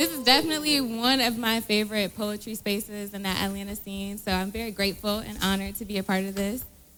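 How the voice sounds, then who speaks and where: With music in the background, a woman of medium pitch talks very fast with hardly any pauses and ordinary pitch variation. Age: young. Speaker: spoken word poet. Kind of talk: live performance banter. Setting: stage with audience.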